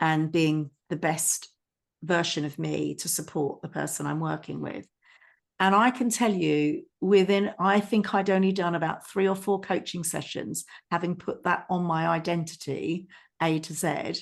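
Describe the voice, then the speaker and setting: A woman's fairly low, vocal-fried voice with big swings in loudness, over a quiet background. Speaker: podcast co-host, trainer and coach. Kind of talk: casual chat.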